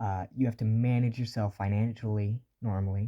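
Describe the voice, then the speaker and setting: A dark, mellow voice in a monotone, flat delivery with an American accent, dry and close with no echo. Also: man. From US South. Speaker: beginner voice actor, video creator. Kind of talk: tutorial. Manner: casual, conversational.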